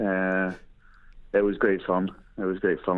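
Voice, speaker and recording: A man speaks with a very deep, low pitch. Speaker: former rugby player and pundit. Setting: phone call.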